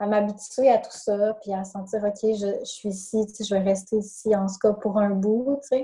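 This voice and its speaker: In a Saguenay accent, a woman speaks at a fairly slow pace with a fairly high pitch and fairly even intonation. Her tone is dark and mellow, and somewhat breathy. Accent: Quebec French (Saguenay). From Quebec, Saguenay. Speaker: life coach. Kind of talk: interview. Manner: hesitant, many fillers.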